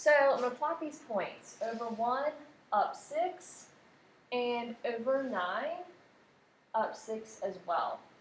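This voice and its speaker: There is audible room echo as a high-pitched woman speaks very slowly with lively intonation and long, frequent pauses. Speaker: math teacher. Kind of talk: tutorial.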